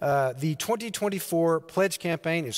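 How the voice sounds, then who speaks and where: Against a quiet background, a man talks in a high pitch. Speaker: pastor. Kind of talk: church announcements. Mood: warm, friendly. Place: church.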